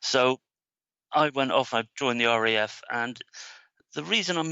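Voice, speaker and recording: The speaker has a Devon accent and a moderate pace. Pitch varies in an ordinary way. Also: man. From England, Devon. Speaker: business marketing trainer. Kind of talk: interview. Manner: hesitant, many fillers.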